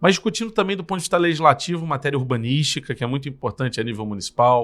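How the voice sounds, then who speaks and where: A man talks very fast with lively intonation and a fairly high pitch. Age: 30s. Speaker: politician, mayoral candidate. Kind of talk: podcast interview, campaign self-presentation.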